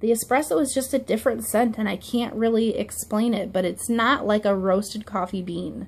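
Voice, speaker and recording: A woman speaks at a fairly high pitch with ordinary pitch variation and vocal fry. Her moderate pace has hardly any pauses. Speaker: wax product reviewer. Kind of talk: product review. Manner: casual with fillers.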